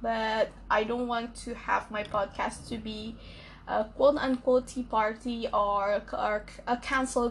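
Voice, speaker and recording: The speaker has an Indonesian accent and sounds somewhat breathy. The delivery is fairly slow, with monotone, flat intonation. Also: woman. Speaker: podcaster. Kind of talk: solo podcast monologue. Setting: at night.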